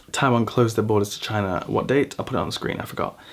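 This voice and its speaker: This man has a British accent. He talks at a very fast pace. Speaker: vlogger. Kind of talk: casual vlog monologue. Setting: at home in an apartment. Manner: loud; animated.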